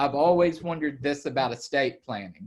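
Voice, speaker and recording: This man speaks with an Alabama accent. His pitch is fairly high. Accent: Southern US (Alabama). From Alabama, US South. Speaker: estate planning attorney. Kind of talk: webinar presentation. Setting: video call.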